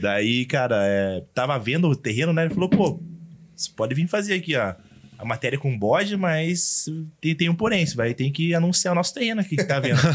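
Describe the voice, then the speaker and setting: A man talks fairly quickly, his fairly high voice swinging very widely in pitch. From interior of São Paulo state, Brazil. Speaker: social media influencer. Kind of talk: casual podcast interview.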